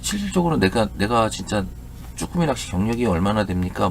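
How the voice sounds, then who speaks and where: Amid noticeable background noise, a man talks at a fairly quick pace with very wide pitch swings. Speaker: fishing youtuber. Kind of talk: casual talk to viewers. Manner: halting, many repeats and fillers.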